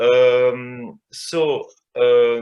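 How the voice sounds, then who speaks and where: A man with a French accent speaks at a medium pitch with ordinary pitch variation. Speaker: cellist and chamber music teacher. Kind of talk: panel discussion. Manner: halting.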